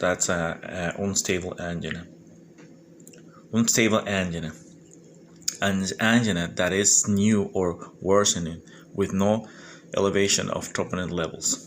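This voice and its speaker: A man speaks at a fairly slow pace with a very deep, low pitch. Long, frequent pauses break up his words. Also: fairly even intonation. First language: Spanish. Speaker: medical exam candidate. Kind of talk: study review monologue. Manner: halting; informal.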